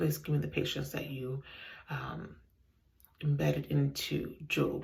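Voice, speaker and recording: A woman's fairly slow whisper, with audible echo from the room. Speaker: home decor vlogger. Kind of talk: casual vlog. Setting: bathroom. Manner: whispering.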